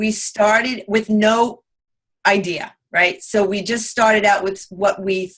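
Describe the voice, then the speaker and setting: Speaking at a fairly slow pace, a woman with a strong Long Island accent has a bright, sharp tone. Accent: thick Long Island. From US Northeast, Long Island, New York. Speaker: real estate investor. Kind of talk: interview. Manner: halting.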